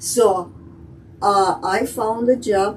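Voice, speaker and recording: A woman with a Russian accent talks at a medium pitch with fairly even intonation. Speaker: immigrant telling life story. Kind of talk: interview. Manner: halting.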